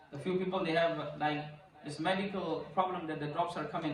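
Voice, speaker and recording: The speech moves at a moderate pace. Audible room echo and noticeable background noise fill the recording. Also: man. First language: Urdu or Punjabi. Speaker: imam teaching Islamic rulings. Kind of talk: religious lecture. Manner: halting, repetitive non-native English.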